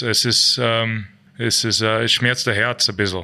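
Against a quiet background, a man with an English accent speaks at a medium pitch in a bright, sharp tone. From Canada. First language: English (speaking German). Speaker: ice hockey player. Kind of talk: interview. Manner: halting.

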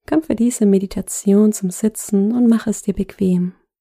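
At a fairly slow pace, a woman speaks at a medium pitch in a calm, soothing, dark and mellow tone, somewhat breathy, with ordinary pitch variation and a dry, close sound with no echo. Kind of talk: guided meditation. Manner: slow, soft-spoken, calm and soothing with long pauses.

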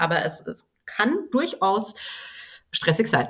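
Here a woman speaks at a medium pitch. Her voice is somewhat breathy. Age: 30s. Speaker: business mentor and time management coach. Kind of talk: casual interview.

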